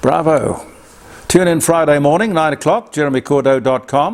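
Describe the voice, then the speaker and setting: Against noticeable background noise, a man with an Australian accent speaks at a moderate pace. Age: 80s+. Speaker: broadcaster and commentator. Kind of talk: casual commentary. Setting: studio. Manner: halting.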